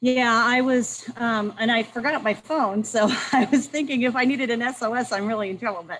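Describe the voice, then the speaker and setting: A loud woman talks at a fairly quick pace in a high pitch. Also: fairly even intonation. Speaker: review team member. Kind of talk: casual chat. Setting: outdoors on video call. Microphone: laptop.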